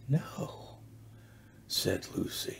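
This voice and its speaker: A man's dark, mellow tone with vocal fry. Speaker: storyteller. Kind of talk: reading a children's story aloud. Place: home room. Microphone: webcam.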